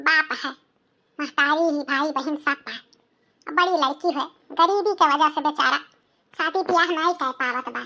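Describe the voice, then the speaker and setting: A woman's cartoonish character voice, high in pitch, at a moderate pace with fairly even intonation. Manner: chatty, confiding.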